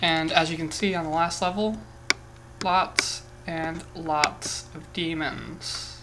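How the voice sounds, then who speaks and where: Through noticeable background noise, a woman with a fairly low voice speaks at a very slow pace in a monotone, flat intonation, with big swings in loudness. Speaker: gaming YouTuber. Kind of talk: solo gameplay commentary. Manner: casual, muses aloud while playing.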